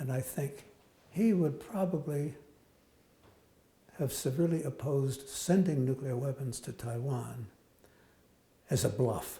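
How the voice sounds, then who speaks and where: A man with an American accent speaks in a dark, mellow, somewhat breathy tone. He leaves long, frequent pauses. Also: fairly high pitch for a man, ordinary pitch variation. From United States. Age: 80s+. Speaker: economist and nuclear strategy professor. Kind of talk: interview answer. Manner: hesitant, reflective.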